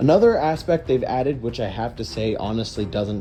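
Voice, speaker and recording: With music in the background, a man talks at a moderate pace using ordinary pitch variation. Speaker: gaming youtuber. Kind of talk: casual video commentary.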